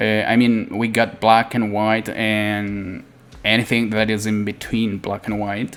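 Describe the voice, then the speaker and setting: At a fairly slow pace, a man with a non-native accent talks in a monotone, flat delivery at a fairly low pitch. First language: not English. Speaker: 3D art tutorial creator. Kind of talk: tutorial. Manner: halting, many fillers.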